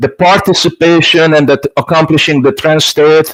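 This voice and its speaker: With a Hungarian accent, a man talks at a moderate pace. His pitch sits fairly high. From Hungary. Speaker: stage hypnotist. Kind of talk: casual interview.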